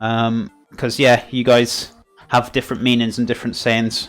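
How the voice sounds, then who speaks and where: With a Welsh accent, a man speaks at a fairly quick pace and medium pitch while music plays in the background. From Wales. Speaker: cooking streamer. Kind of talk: live stream cooking chat. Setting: live stream. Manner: casual, hesitant with many fillers.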